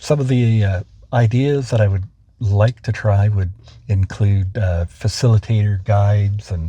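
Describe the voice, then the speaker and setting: A man's fairly low, dark, mellow voice, somewhat breathy, at a fairly slow pace with ordinary pitch variation. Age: 60s. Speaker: author and trainer. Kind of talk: interview. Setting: impromptu interview.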